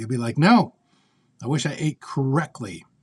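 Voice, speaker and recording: A man's somewhat breathy voice at a medium pitch. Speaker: military veteran and heart surgery patient. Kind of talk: personal video update.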